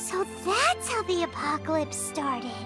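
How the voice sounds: Over clear background music, a woman uses a put-on character voice at an extremely high pitch, swinging her pitch widely at a fairly slow pace.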